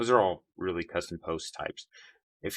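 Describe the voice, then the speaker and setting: A man speaks at a moderate pace in a very deep, low voice with a bright, sharp tone, against a quiet background. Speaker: web designer making tutorials. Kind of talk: screen-share tutorial. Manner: casual with many fillers.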